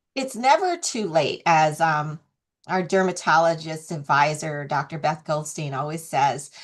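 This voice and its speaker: The woman has an ordinary speaking voice with a fairly low pitch and ordinary pitch variation. She talks at a fairly slow pace against a quiet background. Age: 60s. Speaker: skincare brand founder. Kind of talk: interview. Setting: video call.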